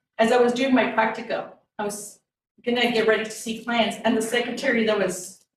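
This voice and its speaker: Audible room echo surrounds a woman speaking at a fairly high pitch. She talks at a fairly quick pace in a monotone, flat intonation. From Texas, Rio Grande Valley. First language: Spanish. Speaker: therapist and motivational speaker. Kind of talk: talk to an audience.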